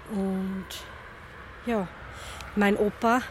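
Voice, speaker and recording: There is noticeable noise in the background. Over it, the woman talks in a mid-range voice. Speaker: head of a church Roma ministry. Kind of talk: interview.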